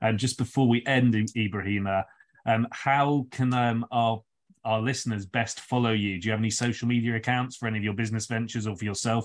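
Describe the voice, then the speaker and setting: With a London accent, a man talks at a very fast pace. His intonation is monotone and flat. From London, England. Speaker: podcast co-host. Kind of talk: casual interview. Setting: remote call. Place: home room. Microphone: video call.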